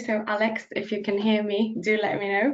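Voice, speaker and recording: There is noticeable background noise. Over it, a woman speaks at a fairly high pitch. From Bulgaria. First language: Bulgarian. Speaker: policy officer. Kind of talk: presentation. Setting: video call.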